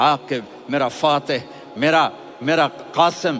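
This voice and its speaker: A man speaks over noticeable background noise. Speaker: Islamic preacher. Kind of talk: religious sermon (bayan). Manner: emotional, passionate, expressive.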